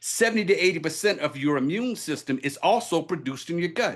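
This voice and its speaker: A man speaks at a high pitch and a fairly quick pace. His pitch varies in an ordinary way against a quiet background. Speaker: wellness presenter and minister. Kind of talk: product presentation. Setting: video call. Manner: fast; energetic.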